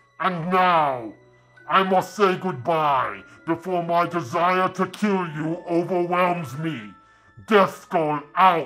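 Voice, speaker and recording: With faint music in the background, a man uses a put-on character voice at a high pitch and a very slow pace. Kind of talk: comic overacting. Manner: pompous, booming, theatrical menace.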